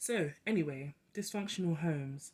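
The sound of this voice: The tone is slightly mellow, with ordinary pitch variation. The pace is fairly slow.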